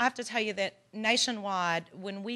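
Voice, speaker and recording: A woman with a Texan accent, a bright, sharp tone and fairly even intonation at a moderate pace against a quiet background. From Texas. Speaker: legal aid organization director. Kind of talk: conference presentation. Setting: workshop with audience.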